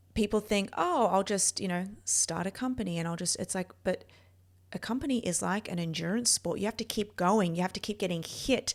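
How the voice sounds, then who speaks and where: At a fairly quick pace, a woman talks at a medium pitch in a very clean recording with a silent background. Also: ordinary pitch variation. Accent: Australian. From Australia. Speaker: neurophysiologist and performance coach. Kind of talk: personal story monologue. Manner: casual, with fillers.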